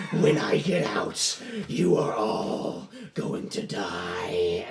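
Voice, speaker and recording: A man puts on a raspy character voice at a medium pitch, speaking very slowly with a slight echo and clear background noise. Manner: menacing, threatening.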